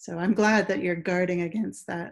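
Against a quiet background, a woman's intonation stays fairly even. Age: 40s. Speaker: science writer; interview guest. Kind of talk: casual interview. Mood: thoughtful, conversational. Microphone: video call.

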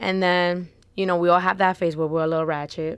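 A woman's fairly low voice, an unremarkable speaking voice, with fairly even intonation, a dry sound with no echo and a quiet background. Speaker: podcast guest. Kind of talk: interview answer. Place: studio. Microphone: studio mic.

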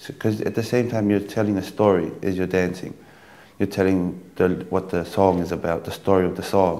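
This man has a Tongan accent and a very deep, low pitch. His tone is dark and mellow, and his intonation is monotone and flat. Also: fairly quick pace. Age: 20s. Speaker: dancer and dance teacher. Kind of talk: dance tutorial; interview. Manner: halting. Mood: calm, explanatory. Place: home room.

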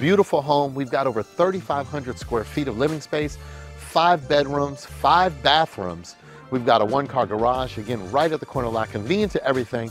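With faint music in the background, a man talks at a fairly quick pace in a dry sound with no echo. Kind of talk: property tour presentation. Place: street. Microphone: lapel.

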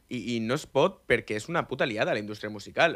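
Bright and sharp, the voice has an animated tone and lively intonation at a fairly quick pace against a quiet background. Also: man. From Catalonia, Maresme (Vilassar de Mar); Catalonia. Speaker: amateur reggaeton musician; radio guest. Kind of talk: casual chat. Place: studio. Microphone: studio mic.

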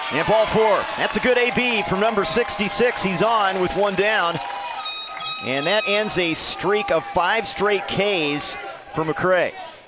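Amid noticeable background noise, a man speaks very slowly in a high voice with ordinary pitch variation and very even loudness. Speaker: sports commentator. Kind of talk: live TV sports commentary, play-by-play. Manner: polished, broadcast-style.

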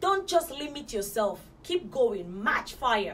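Light background noise sits behind a woman speaking at a high pitch and a moderate pace. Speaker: motivational vlogger. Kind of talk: motivational talk to camera. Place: home room.

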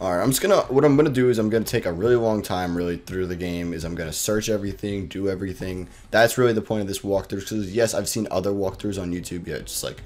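Words come at a very fast pace with hardly any pauses. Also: man, ordinary pitch variation. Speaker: gaming YouTuber. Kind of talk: casual gameplay commentary. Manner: casual, chatty, joking.

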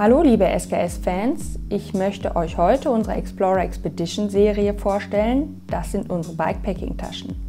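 A woman speaks with hardly any pauses. Faint music plays in the background. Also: moderate pace. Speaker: presenter. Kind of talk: product presentation. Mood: friendly, upbeat. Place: workshop.

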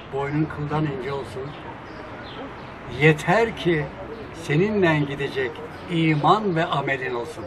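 A man's fairly high-pitched voice at a very slow pace, ordinary pitch variation, noticeable background noise. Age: 70s. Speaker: lawyer. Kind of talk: poetry reading. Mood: cheerful, smiling. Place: cafe.

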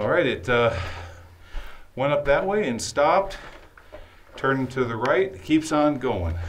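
Against light background noise, a man talks at a fairly slow pace. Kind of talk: exploration commentary. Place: tunnel cave. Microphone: phone near.

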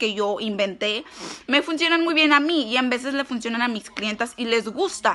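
A woman's fairly high-pitched voice at a moderate pace. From US, California, Mexican-American (Michoacán parents). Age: 20s. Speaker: makeup vlogger. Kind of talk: makeup tutorial. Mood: brash, crude, playful. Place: home room. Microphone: phone near.

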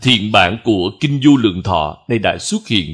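Fairly low in pitch, this man speaks with lively intonation. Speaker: Buddhist monk teacher. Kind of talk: sermon.

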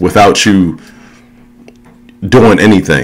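Faint background music sits under a man talking at a fairly low pitch. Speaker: supplement reviewer. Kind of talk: casual vlog chat. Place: home room. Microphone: phone near.

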